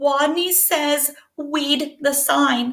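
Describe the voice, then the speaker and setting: It's a put-on character voice. The sound is squeaky and high-pitched. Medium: read story.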